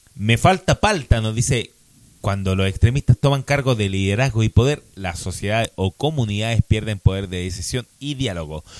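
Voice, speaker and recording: In a dry, close recording with no echo, a man with a Chilean accent and a fairly low pitch talks at a moderate pace with ordinary pitch variation. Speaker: podcast co-host. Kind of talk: casual chat.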